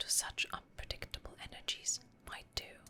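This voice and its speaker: A woman is whispering at a fairly slow pace. Noticeable background noise is present. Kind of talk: ASMR lore reading, whispered story narration. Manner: whispered, soft, relaxing.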